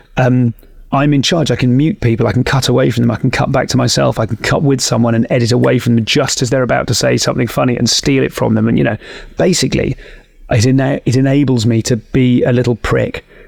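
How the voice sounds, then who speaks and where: A man with a British accent, talking very fast at a very even loudness. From UK. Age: 40s. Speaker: stand-up comedian and podcast host. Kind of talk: casual interview chat.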